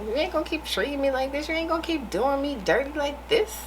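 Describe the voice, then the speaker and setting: Noticeable background noise sits behind a woman whose high voice has lively intonation. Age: 30s. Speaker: vlogger. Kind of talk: casual monologue to camera. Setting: in her room. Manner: animated.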